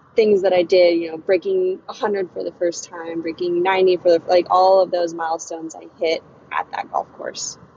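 A woman with an American accent and a fairly low pitch talks with monotone, flat intonation and hardly any pauses over noticeable background noise. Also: moderate pace. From Virginia (Chesapeake). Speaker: professional golfer. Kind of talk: interview. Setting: phone call from a car while driving.

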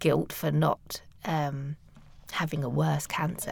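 A woman's very slow speech in a British accent. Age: 40s. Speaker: cancer patient guest. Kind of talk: interview. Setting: studio.

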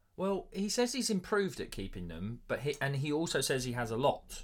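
Very wide pitch swings on a very clean recording with a silent background. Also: man. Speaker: physiotherapist and podcast co-host. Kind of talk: casual chat. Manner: many filler words (ums).

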